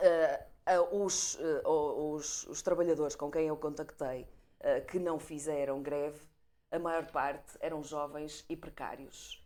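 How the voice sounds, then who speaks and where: Very slowly, a woman speaks in a very deep, low pitch with a dark, mellow tone and monotone, flat intonation. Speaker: panel commentator. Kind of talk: panel debate.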